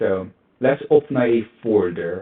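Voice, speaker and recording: This man's pitch is fairly low, with ordinary variation. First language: not English. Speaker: cybersecurity tutorial youtuber. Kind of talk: screen-recorded tutorial. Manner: halting, many fillers.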